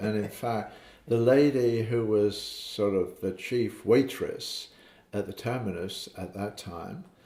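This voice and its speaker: This man speaks in a fairly low pitch. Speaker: father recounting family memories. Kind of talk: casual family interview. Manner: halting, with many fillers.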